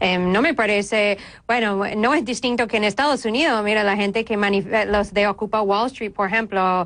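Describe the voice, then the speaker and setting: A woman speaks at a moderate pace with a slight American accent. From United States. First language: English (speaking Spanish). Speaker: journalist and lawyer. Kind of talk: TV interview. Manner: halting.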